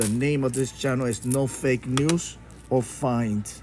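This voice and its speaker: With music in the background, a man speaks with a Spanish accent and fairly even intonation. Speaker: YouTuber and coin collector. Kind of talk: casual vlog monologue. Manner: halting, with fillers and restarts.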